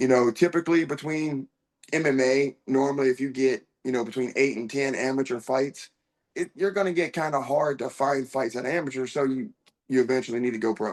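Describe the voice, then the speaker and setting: An ordinary speaking voice with an American accent, ordinary pitch variation and a fairly quick pace. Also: man, medium pitch for a man. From US, small town. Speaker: professional MMA fighter. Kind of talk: interview.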